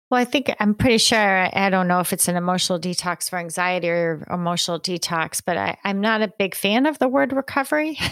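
A woman with a Northeastern US accent talks at a fairly quick pace in a medium pitch, with lively intonation and hardly any pauses. The sound is dry and close, with no echo. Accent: American (Northeast). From rural New York State, US. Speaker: psychology professor and author. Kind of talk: interview.

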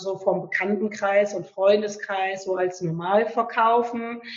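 Over noticeable background noise, a woman with a medium pitch speaks fairly slowly in a monotone, flat intonation. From western Germany, Lower Rhine near Düsseldorf. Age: 30s. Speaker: author. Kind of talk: interview, personal testimony. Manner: hesitant, many fillers.

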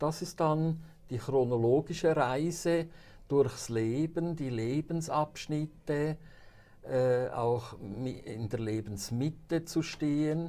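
Very slowly, a man speaks at a fairly high pitch in a dark, mellow tone, with ordinary pitch variation. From Switzerland, St. Gallen Rhine Valley (Buchs). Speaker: pastor and author. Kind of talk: interview. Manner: hesitant with frequent fillers.

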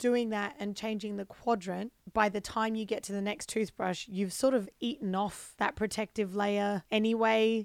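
A woman of medium pitch with an Australian accent, at a moderate pace with fairly even intonation, on a very clean recording with a silent background. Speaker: comedian and podcast co-host. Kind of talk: casual chat.

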